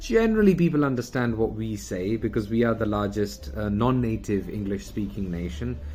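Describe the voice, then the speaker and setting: A man's fairly low voice with a British accent, lively intonation and a moderate pace. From UK. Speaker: communication coach. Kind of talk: video talk. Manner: casual, with fillers.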